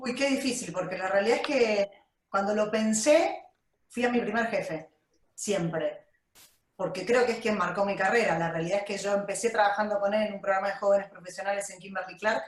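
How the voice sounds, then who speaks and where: This woman has a plain, everyday voice at a medium pitch, with ordinary pitch variation. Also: fairly quick pace. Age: 40s. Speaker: HR director. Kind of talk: interview.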